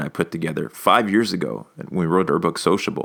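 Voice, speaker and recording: Talking at a fairly quick pace, a man is heard on a very clean recording with a silent background. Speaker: sales speaker and podcaster. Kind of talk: solo podcast monologue. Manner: fast.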